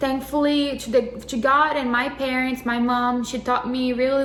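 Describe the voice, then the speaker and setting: Monotone, flat intonation with a Portuguese accent, amid audible room echo and noticeable background noise. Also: woman. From Brazil. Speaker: co-host, YouTuber's wife. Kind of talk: casual testimony.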